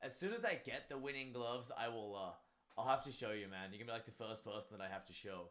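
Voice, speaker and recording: A man with an Australian accent talks at a very fast pace and a medium pitch, with ordinary pitch variation. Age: 30s. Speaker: martial arts instructor and streamer. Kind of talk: casual live stream chat.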